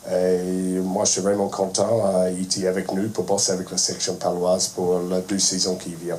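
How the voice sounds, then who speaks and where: With a strong non-native accent, a man speaks at a very deep, low pitch in a monotone, flat intonation with hardly any pauses. Audible room echo and noticeable background noise fill the recording. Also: moderate pace. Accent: strong foreign accent in French. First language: not French (speaking French). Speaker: rugby head coach. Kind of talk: press conference speech. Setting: press conference room. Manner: halting, many hesitations.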